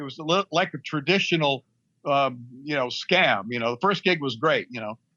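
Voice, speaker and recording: A man's normal speaking voice with an American accent, lively intonation and a moderate pace. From Middle East, American family. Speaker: music manager and author. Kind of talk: interview. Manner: conversational, many fillers.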